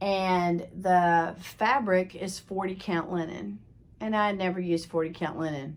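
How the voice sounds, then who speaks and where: A woman with an American accent uses an ordinary speaking voice, speaking at a fairly slow pace with ordinary pitch variation. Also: medium pitch for a woman. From Texas. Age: 60s. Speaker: craft video host. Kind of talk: casual show-and-tell vlog. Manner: conversational, with fillers.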